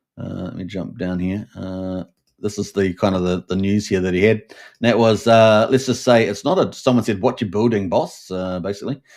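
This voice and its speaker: On a very clean recording with a silent background, a man with a fairly low pitch talks at a moderate pace with hardly any pauses, keeping his intonation fairly even while his loudness swings widely. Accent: New Zealand. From New Zealand. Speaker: crypto show host. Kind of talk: live stream commentary. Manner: many fillers and hesitations.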